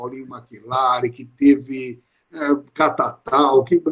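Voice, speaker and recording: An ordinary speaking voice with lively intonation. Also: man. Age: 60s. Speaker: sports radio presenter. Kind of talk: interview on live stream. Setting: online live stream.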